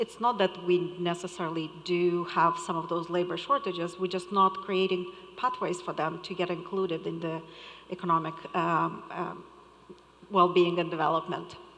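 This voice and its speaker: Noticeable background noise surrounds this recording. A woman with a non-native accent talks at a moderate pace. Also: fairly low pitch for a woman, fairly even intonation. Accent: foreign. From Moldova. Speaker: conference panelist. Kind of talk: panel discussion.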